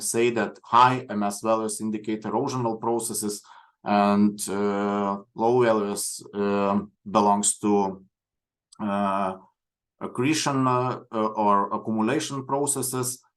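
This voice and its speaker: A man in a Lithuanian accent, fairly low-pitched, at a very slow pace with fairly even intonation, over a quiet background. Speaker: coastal geoscience researcher. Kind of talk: lecture. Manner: halting.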